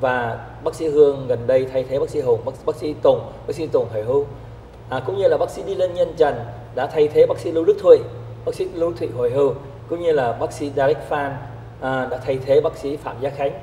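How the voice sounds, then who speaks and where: Amid light background noise and audible room echo, a man talks at a fairly quick pace. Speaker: TV show host. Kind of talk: talk show introduction. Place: studio. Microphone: lapel.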